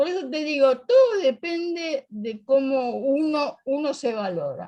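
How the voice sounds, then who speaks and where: Lively in her intonation, a woman talks in a high pitch. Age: 80s+. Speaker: workshop participant. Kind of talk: casual chat.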